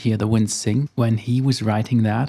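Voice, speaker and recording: This man's voice has a dark, mellow tone at a medium pitch. His intonation stays fairly even. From Germany. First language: German. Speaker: photographer. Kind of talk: casual vlog monologue. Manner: slightly halting.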